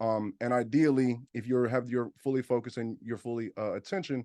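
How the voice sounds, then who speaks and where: Against a quiet background, a man talks at a fairly quick pace. His tone is dark and mellow. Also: dry, close sound with no echo. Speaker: business funding educator. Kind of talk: webinar presentation. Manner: fast; loud.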